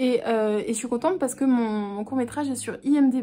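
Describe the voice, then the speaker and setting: A woman speaks in a high voice at a moderate pace, with ordinary pitch variation. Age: 20s. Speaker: actress. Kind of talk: casual talk to camera.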